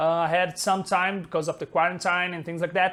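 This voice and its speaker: Speaking in a monotone, flat intonation, a man with a Brazilian Portuguese accent uses a high pitch. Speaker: software developer and colorist. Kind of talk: tutorial. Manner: halting, many fillers. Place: home room. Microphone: lapel.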